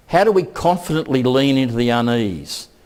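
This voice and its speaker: Speaking with an Australian accent, a man uses a medium pitch, a moderate pace and lively intonation on a very clean recording with a silent background. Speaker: keynote speaker, education researcher. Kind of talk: conference keynote.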